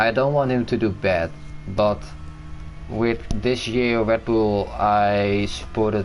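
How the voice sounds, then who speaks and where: Speaking in a Dutch accent, a man talks at a fairly slow pace with a fairly low pitch and fairly even intonation. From Netherlands. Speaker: gaming streamer. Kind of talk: casual chat.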